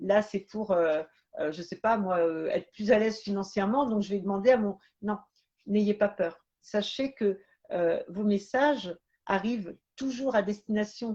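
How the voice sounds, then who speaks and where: Speech moves at a fairly slow pace with ordinary pitch variation. The tone comes across as dark and mellow. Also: woman, medium pitch for a woman. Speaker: medium. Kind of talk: live stream talk. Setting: live stream. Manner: halting.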